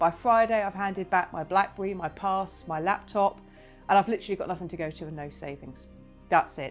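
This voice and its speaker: Over music in the background, the voice moves at a fairly quick pace with ordinary pitch variation. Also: woman. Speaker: wellbeing keynote speaker. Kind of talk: personal story told to camera.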